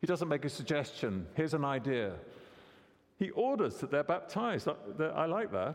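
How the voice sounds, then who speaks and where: With vocal fry, a man speaks at a fairly high pitch. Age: 60s. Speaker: preacher. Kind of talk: sermon.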